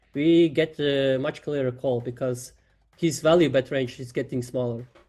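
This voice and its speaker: Speaking at a moderate pace with a non-native accent, a man has a fairly high pitch and a dark, mellow tone. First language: not English. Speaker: poker player reviewing his game. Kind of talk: game review discussion. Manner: halting, many fillers.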